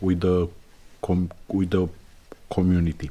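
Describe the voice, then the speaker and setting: With a Romanian accent, a man speaks at a moderate pace in a dark, mellow tone. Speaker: podcaster. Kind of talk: opinion monologue. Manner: halting.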